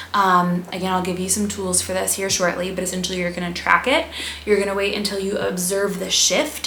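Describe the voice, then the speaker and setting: A woman's animated, medium-pitched voice amid audible room echo and noticeable background noise. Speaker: health and wellness youtuber. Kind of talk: casual educational vlog. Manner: fast.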